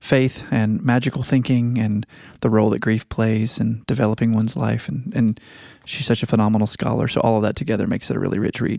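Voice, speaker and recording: In a normal speaking voice, a man with an American accent talks at a fairly quick pace and medium pitch with fairly even intonation, the recording very clean with a silent background and a dry, close sound with no echo. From Virginia. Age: 40s. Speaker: podcast host. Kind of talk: casual chat.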